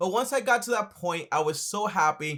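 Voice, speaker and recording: A man with an American accent speaks in a raised, projected voice. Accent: Caribbean-tinged American English. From Dominican Republic. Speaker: accountant and finance YouTuber. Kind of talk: casual Q&A talk to camera. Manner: fast.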